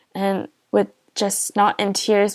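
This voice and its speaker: A woman's medium-pitched voice with a Korean accent, on a very clean recording with a silent background. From South Korea. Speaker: pastor. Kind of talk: testimony.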